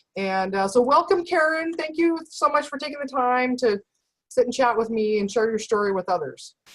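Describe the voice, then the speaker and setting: At a moderate pace, a woman speaks in a high voice whose pitch swings very widely. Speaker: nutritionist, interview host. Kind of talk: interview.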